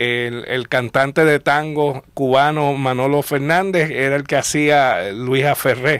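Very slow speech from a man at a fairly high pitch, against a quiet background. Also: dry sound with no echo. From Puerto Rico. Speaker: popular culture historian. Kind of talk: casual chat. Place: studio.

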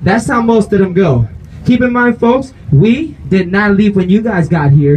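Playful in tone, this man talks at a high pitch with very wide swings up and down. Light background noise runs underneath. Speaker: street performer. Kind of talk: street show crowd-work hype pitch. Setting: outdoors, street crowd. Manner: loud, playful joking with crowd, laughing. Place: street. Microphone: pa.

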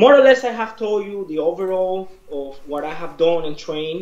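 A man's high-pitched voice with ordinary pitch variation, a slightly mellow tone and a moderate pace, plus audible room echo

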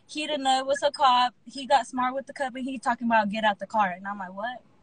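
A woman in an American accent speaks at a high pitch with ordinary pitch variation. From Texas. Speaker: former sex worker telling stories. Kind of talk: casual live-stream chat, storytelling. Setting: Instagram live video call.

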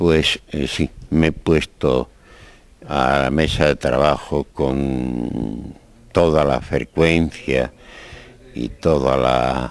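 A man talks very slowly in a very deep, low pitch with fairly even intonation. The sound is dry with no echo. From Spain. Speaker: poet. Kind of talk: interview answer. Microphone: handheld.

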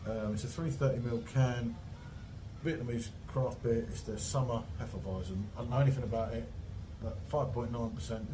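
There is noticeable background noise as a man speaks with ordinary pitch variation. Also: moderate pace. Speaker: beer reviewer. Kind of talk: casual vlog chat. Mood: relaxed and jovial. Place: home room. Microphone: phone near.

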